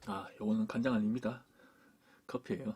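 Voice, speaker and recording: A quiet man's voice, dark and mellow in tone, with lively intonation. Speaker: camera gear YouTuber. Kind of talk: product review. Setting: indoors at home desk. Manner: speaks quietly, low.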